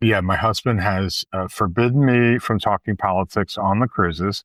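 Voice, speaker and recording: The speaker has an American accent. Intonation stays fairly even. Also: man. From Philadelphia, US. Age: 60s. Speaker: event producer and cruise organizer. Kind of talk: casual interview chat. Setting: remote video call recording. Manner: hesitant, many fillers.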